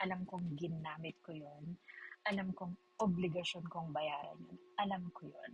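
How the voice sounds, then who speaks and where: A woman speaks at a fairly slow pace. Her voice is somewhat breathy and fairly low in pitch. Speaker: vlogger. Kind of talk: casual chat. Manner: animated.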